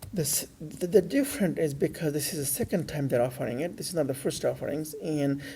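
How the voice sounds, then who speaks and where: This man's voice sits fairly high in pitch, with a dark, mellow tone, a somewhat breathy quality and ordinary pitch variation. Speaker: financial educator. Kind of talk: unscripted educational lecture. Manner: hesitant, many fillers.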